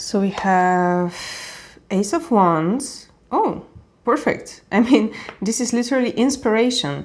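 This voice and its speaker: A woman with a non-native accent and a fairly high pitch speaks at a very slow pace with lively intonation and long, frequent pauses. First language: not English. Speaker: tarot reader. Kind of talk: tarot reading to camera. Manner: casual, with fillers and self-corrections.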